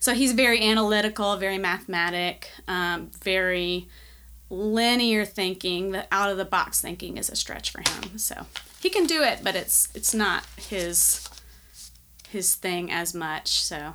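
In a Southern US accent, a woman speaks at a fairly slow pace. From US South, Nashville, Tennessee. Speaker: church member and artist. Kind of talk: interview.

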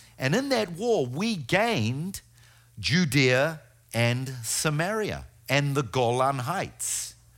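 In a New Zealand accent, a man speaks very slowly with very wide pitch swings, recorded very cleanly against a silent background. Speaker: guest preacher and tour guide. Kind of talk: sermon. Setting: church. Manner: halting.

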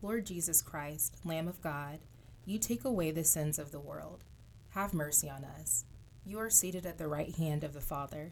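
Solemn in tone, a woman speaks with a very deep, low pitch, vocal fry and ordinary pitch variation. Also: moderate pace. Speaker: prayer leader. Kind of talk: fervent prayer. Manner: solemn, heartfelt, earnest.

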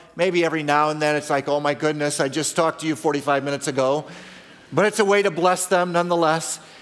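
A very fast, fairly high-pitched man's voice with fairly even intonation over noticeable background noise. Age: 50s. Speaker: pastor. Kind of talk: sermon.

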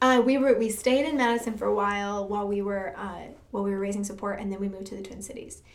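The speaker has an American accent and fairly even intonation, with audible echo in the room. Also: woman. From Michigan, US Midwest. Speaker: church music director. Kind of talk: testimony.

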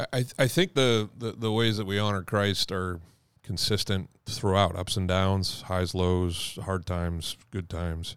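In an American accent, a man speaks with a very deep, low pitch and fairly even intonation. His fairly slow delivery comes through a very clean recording with a silent background. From New England (Maine, Boston). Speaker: senior pastor. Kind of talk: casual interview. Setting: church office. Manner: halting.

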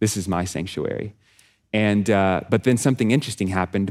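On a very clean recording with a silent background, a man with a plain, everyday voice and an American accent speaks at a fairly low pitch and fairly quick pace with fairly even intonation. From Texas. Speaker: nonprofit director, former pastor. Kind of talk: sermon.

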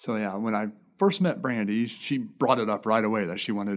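A man with a Midwestern US accent at a very fast pace, fairly low in pitch with ordinary pitch variation, on a very clean recording with a silent background. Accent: US Midwest. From Indiana, Fowler area. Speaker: foster and adoptive father. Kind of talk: casual chat.

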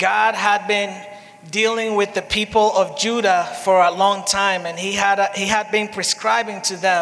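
Over noticeable background noise, a raised, projected voice speaks at a fairly slow pace with fairly even intonation. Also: man. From Dominican Republic. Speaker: pastor. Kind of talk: sermon. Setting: church. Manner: paced in short phrases for an interpreter.

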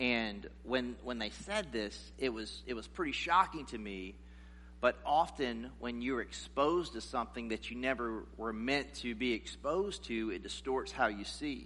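A man's fairly slow delivery carries audible echo from the room. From South Carolina, US South. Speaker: guest preacher. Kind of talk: sermon.

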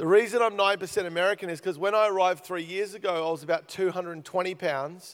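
Very fast and animated, a man with an Australian accent talks at a high pitch. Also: very clean recording, silent background. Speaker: guest preacher. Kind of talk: sermon. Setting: church.

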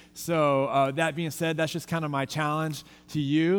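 Speaking in a plain, everyday voice, a man with an American accent talks at a fairly quick pace and a fairly high pitch. The recording is very clean, with a silent background. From Texas. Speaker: youth pastor. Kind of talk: farewell sermon. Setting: church with congregation.

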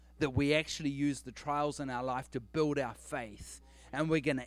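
In a very clean recording with a silent background, a man with a New Zealand accent speaks at a fairly high pitch. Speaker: guest preacher. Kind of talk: sermon. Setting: church stage with congregation.

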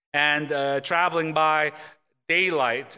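In an American accent, a man speaks with a bright, sharp tone, fairly high pitch and fairly even intonation. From South Korea, then US. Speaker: pastor. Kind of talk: sermon. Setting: church.

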